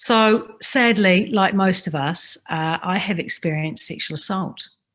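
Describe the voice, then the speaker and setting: The recording is very clean with a silent background. A woman with a New Zealand accent speaks at a very slow pace. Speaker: Maori language advocate and speaker. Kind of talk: personal reflective talk. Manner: halting, with repetitions.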